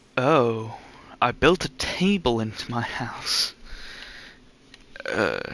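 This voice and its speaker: With lively intonation and a medium pitch, a man speaks at a very slow pace, leaving long, frequent pauses. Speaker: gaming youtuber. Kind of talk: let's play commentary. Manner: stuttering and stumbling.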